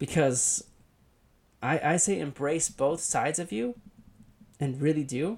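An American accent at a fairly slow pace, with long, frequent pauses, on a very clean recording with a silent background. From Southern California (Thousand Oaks area). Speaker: podcaster and YouTuber. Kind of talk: solo monologue podcast. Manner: halting, many fillers.

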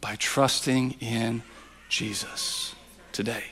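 Noticeable background noise around a man talking. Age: 40s. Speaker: pastor. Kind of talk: sermon. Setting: church. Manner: repetitive, halting restarts.

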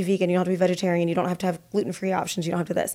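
Talking very fast, a woman speaks with an American accent. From US Midwest. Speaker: marketing agency owner. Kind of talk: casual interview. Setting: studio.

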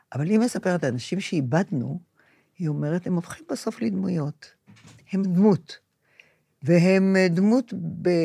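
A woman's fairly low, somewhat breathy voice, dark and mellow in tone, with lively intonation, a moderate pace and long, frequent pauses. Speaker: podcast co-host, grandmother. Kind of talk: casual chat.

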